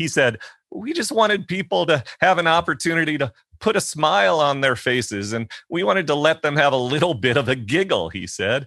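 On a very clean recording with a silent background, a man talks at a fairly quick pace in a fairly high, bright, sharp voice with vocal fry and very wide pitch swings. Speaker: podcast host. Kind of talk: interview conversation.

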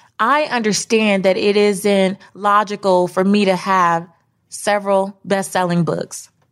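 Talking at a fairly slow pace, a woman keeps very even loudness at a medium pitch. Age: 30s. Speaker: podcast host, personal finance author. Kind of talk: motivational solo monologue. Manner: animated.

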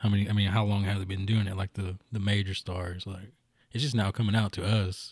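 Very clean recording with a silent background of a man with a somewhat breathy voice and monotone, flat intonation. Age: 30s. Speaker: musician. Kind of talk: casual chat.

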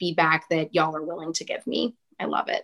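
With a Texan accent, a woman talks at a fairly low pitch against a quiet background. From central Texas, small rural town. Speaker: podcast host guest. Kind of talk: casual interview chat.

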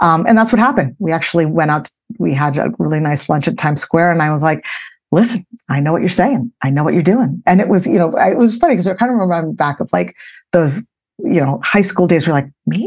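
This woman talks at a very fast pace with lively intonation. Her pitch sits fairly low. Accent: American. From Boston, Massachusetts. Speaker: head of corporate communications. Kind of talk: interview conversation. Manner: animated.

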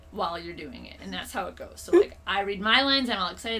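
Very fast female speech in a Minnesotan accent. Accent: Minnesota. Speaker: comedian. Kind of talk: casual chat. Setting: home living room.

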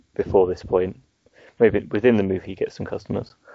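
A man speaks with an English Midlands accent. His pitch sits fairly low. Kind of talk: casual chat podcast.

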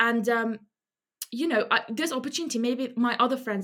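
A woman with a normal speaking voice, fairly high in pitch, at a fairly quick pace. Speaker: medical student. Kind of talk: casual chat.

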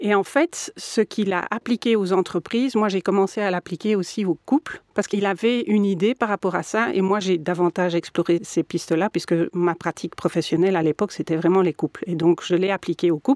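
At a fairly quick pace, a woman speaks in an unremarkable speaking voice with a medium pitch. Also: ordinary pitch variation, hardly any pauses, dry, close sound with no echo. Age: 50s. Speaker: mediator and lawyer. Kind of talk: interview.

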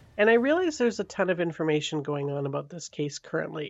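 A woman with a Canadian accent speaks in a very deep, low voice. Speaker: true crime podcast host. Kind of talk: true crime storytelling. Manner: casual, conversational.

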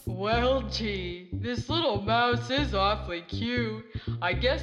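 The reading is delivered in a natural voice.

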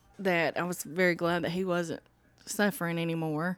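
With a Southern US accent, this voice moves along at a moderate pace. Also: woman. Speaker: grieving sister. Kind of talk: casual chat.

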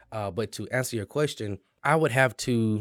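A man talks in a normal speaking voice at a fairly quick pace with ordinary pitch variation, recorded very clean with a silent background and a dry, close sound with no echo. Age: young. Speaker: small business lender, former banker. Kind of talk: casual interview. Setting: in person at a local venue.

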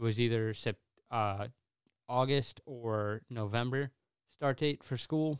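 In a very clean recording with a silent background and a dry, close sound with no echo, a man with a normal speaking voice talks at medium pitch with fairly even intonation. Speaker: diesel mechanic. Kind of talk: casual chat. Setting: studio.

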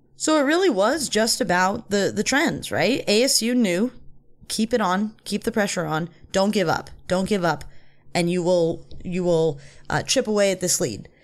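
A woman speaks at a medium pitch in a normal speaking voice, her loudness very even throughout. She keeps a moderate pace, and the recording is very clean with a silent background. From Van Nuys, Los Angeles. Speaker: sports podcast co-host. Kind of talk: casual sports talk.

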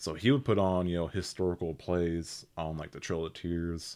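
A man with an American accent speaks at a moderate pace in a very deep, low pitch with ordinary variation, on a very clean recording with a silent background. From Oklahoma, Seminole County. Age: 20s. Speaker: actor and model. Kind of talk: casual interview chat.

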